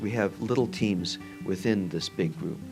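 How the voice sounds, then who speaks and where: With music in the background, a soft-spoken man in a Midwestern American accent talks at a fairly low pitch and fairly slow pace, his intonation lively. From Northwest Indiana. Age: old. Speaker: orthopedic surgeon. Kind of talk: interview answer.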